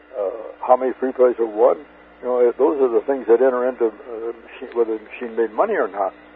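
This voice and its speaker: The speech comes at a very fast pace with fairly even intonation, set against noticeable background noise. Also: man, medium pitch for a man. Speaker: retired pinball machine designer. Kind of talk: interview. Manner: halting, many fillers and repetitions.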